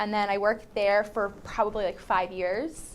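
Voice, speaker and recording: With a New Jersey accent, a woman talks at a moderate pace in a medium pitch, her intonation monotone and flat. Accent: New Jersey American English. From New Jersey, Vineland. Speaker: high school English teacher. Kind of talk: casual interview. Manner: casual, many fillers.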